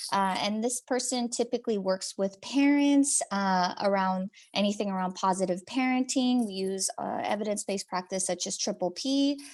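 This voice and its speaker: At a moderate pace, a woman with an unremarkable speaking voice talks at medium pitch with ordinary pitch variation. She leaves hardly any pauses, over a quiet background. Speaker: behavioral health program presenter. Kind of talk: webinar presentation.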